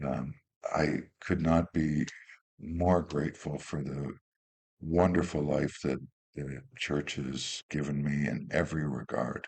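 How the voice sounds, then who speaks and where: A man with a Canadian accent speaks very slowly in a very deep, low voice with vocal fry. His intonation stays fairly even. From Ontario, Canada (Kitchener). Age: 60s. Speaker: Lutheran bishop. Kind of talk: interview.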